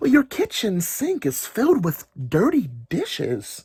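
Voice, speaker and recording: A man uses a put-on character voice with an extremely high pitch. He speaks at a fairly slow pace. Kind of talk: children's read-aloud. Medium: read story.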